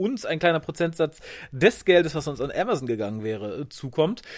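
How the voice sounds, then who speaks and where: Very wide swings in pitch mark this voice, delivered at a moderate pace. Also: man. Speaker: podcast co-host. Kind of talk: casual chat. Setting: remote, lying on sofa at home.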